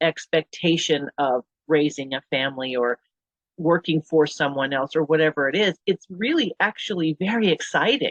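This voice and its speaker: Lively intonation marks this woman's plain, everyday voice, pitched fairly low and kept at a moderate pace. The sound is dry and close with no echo. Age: 50s. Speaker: podcast host. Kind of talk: interview conversation.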